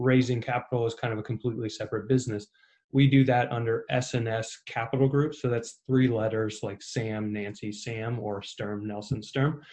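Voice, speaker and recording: A man with a Midwestern US accent, medium pitch, and a somewhat breathy voice, with fairly even intonation at a moderate pace over a quiet background. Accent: US Midwest. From Ohio, Cincinnati. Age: 30s. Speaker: real estate investor. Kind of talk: interview.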